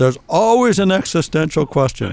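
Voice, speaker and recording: In a very clean recording with a silent background, a man with a Canadian accent and a plain, everyday voice talks at a moderate pace with lively intonation. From Ontario, Canada (Guelph). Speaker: interview guest. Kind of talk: casual chat.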